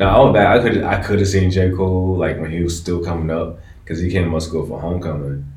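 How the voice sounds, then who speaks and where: A man with a very deep, low voice and an American accent, very fast pace, fairly even intonation, and noticeable background noise. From DMV (Washington DC area). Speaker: podcast host. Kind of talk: casual chat.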